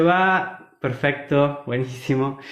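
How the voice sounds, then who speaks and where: A man is speaking. His pace is very slow, with ordinary pitch variation. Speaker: agroecology speaker. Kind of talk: online talk / livestream presentation. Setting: live online stream.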